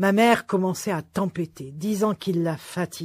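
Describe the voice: Simple, plain reading aloud.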